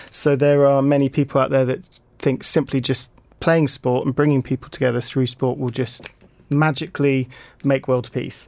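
This man speaks with an English accent. His voice sits at a medium pitch and stays monotone, with flat intonation. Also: moderate pace. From UK. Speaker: peace-through-sport program ambassador. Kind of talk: radio interview. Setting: studio.

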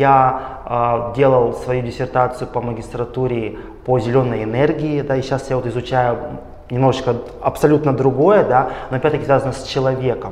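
Amid noticeable background noise and audible room echo, a man with a medium pitch speaks at a moderate pace with fairly even intonation. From Russia. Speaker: doctoral student. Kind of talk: interview. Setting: studio.

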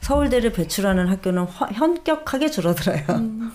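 Her pitch moves in very wide swings. The woman keeps a moderate pace. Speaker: reporter. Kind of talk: casual interview chat about education news.

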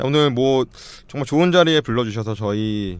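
Over a silent background on a very clean recording, a man talks at a moderate pace. He has an unremarkable speaking voice with ordinary pitch variation. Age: 30s. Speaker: startup founder. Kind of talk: casual chat.

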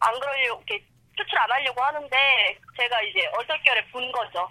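At a moderate pace, a woman talks in a high voice. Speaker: university student working in nightlife bar. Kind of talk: interview. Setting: phone call on speakerphone.

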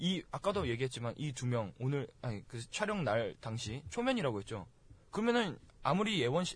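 Very wide swings in pitch mark this man's speech. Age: 20s. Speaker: university student. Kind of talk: casual chat.

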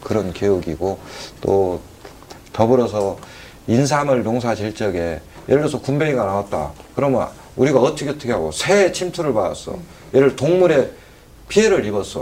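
With noticeable background noise behind him, a man at a medium pitch talks at a moderate pace, his pitch swinging very widely between long, frequent pauses. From Geumsan, South Chungcheong, Korea. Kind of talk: interview. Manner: hesitant with fillers.

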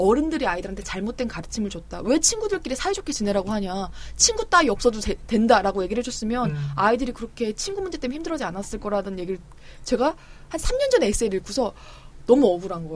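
A woman's fairly high voice, very fast, with very wide pitch swings. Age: 30s. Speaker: young adult novelist. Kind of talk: casual chat.

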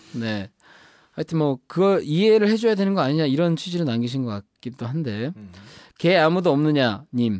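Over a quiet background, a man with a fairly high pitch speaks at a moderate pace, his pitch swinging very widely and his loudness shifting a lot, in a dry, close sound with no echo. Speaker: podcast host. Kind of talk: casual chat. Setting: studio. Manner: animated.

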